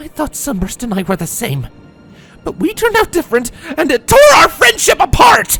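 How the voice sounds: A woman with a high pitch and a fairly bright tone shouts in a put-on character voice with vocal fry and very wide pitch swings. Her pace is moderate, with faint music in the background.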